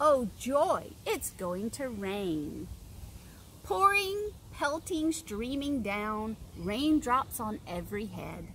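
Light background noise sits behind a woman who talks at a very slow pace. Her pitch swings very widely. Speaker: teacher reading to children. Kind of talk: story reading and letter tutorial. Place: garden.

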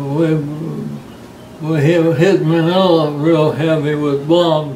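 A fairly high male voice with an American accent and fairly even intonation, with light background noise and audible room echo. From United States. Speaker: World War II navy veteran. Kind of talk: interview answer. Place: home room. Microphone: camera far.

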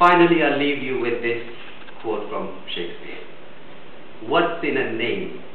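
A man at a fairly slow pace, with long, frequent pauses, audible room echo and light background noise. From India. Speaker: biomedical engineer giving a speech at a speakers club. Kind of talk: prepared speech. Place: meeting room. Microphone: camera far.

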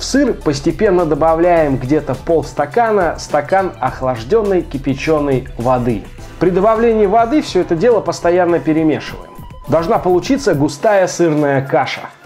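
A high-pitched man at a moderate pace, with faint music in the background. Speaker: home cooking channel host. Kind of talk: tutorial. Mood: lively, expressive. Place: kitchen. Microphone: lapel.

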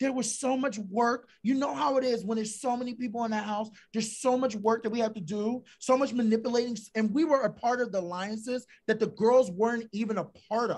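Over a quiet background, a man with an extremely high pitch talks in an animated tone at a fairly quick pace, with ordinary pitch variation and hardly any pauses. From Philadelphia, US. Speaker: reality TV contestant; guest. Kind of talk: casual interview; interview answer. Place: home room. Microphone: video call.

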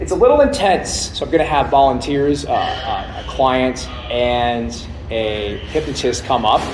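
A man is heard speaking over noticeable background noise. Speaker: presenter. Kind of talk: lecture. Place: hall.

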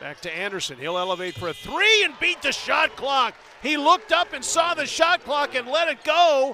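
A man's raised, projected voice, extremely high in pitch with very wide swings, at a moderate pace over noticeable background noise. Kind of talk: live commentary.

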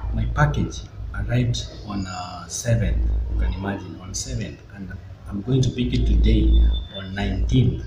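A man speaks at a fairly slow pace with music in the background. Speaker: vlogger. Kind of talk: casual vlog chat. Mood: mildly frustrated about delivery. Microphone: phone near.

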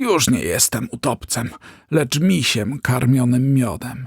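A raspy, put-on character voice comes through at a fairly slow pace. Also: man, medium pitch for a man. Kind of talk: bedtime story. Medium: read story.

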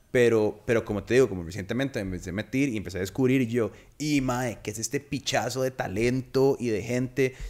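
Using hardly any pauses, a man talks at a fairly quick pace with ordinary pitch variation. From Costa Rica. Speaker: podcast host. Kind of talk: casual chat. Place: studio. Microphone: studio mic.

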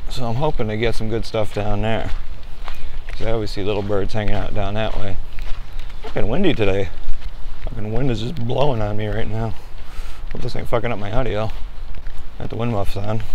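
A plain, everyday voice talks at a fairly quick pace. The sound is dry with no echo, and light background noise is present. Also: man, fairly low pitch for a man. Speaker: outdoor photographer vlogger. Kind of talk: casual vlog chat. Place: forest. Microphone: lapel.

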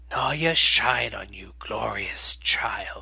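A put-on character voice growls and hisses, raspy throughout. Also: man. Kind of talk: solemn, formal ceremonial speech. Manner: proud, commanding, coldly menacing.

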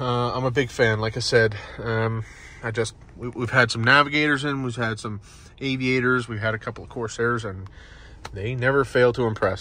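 A man talks at a moderate pace with fairly even intonation, recorded with a dry sound and no echo. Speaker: car salesperson. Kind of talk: casual product walkaround for a customer. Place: car.

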